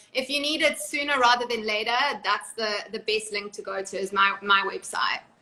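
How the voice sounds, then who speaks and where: Over noticeable background noise, a woman speaks fairly quickly at a fairly high pitch. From South Africa. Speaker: reality TV cast member and author. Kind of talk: interview.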